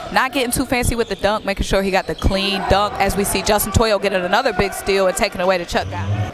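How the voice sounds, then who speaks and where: Amid noticeable background noise, a woman with a medium-pitched voice speaks very fast in an energetic, enthusiastic tone, hardly pausing at all. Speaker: sports reporter / color commentator. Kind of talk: live basketball color commentary.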